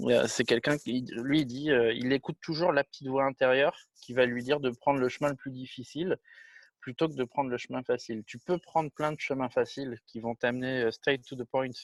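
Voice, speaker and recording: Fairly even intonation comes at a fairly quick pace, with a dry, close sound with no echo and a quiet background. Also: man, medium pitch for a man. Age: 40s. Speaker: film director and producer. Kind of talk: interview. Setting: video call. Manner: casual, with many hesitations.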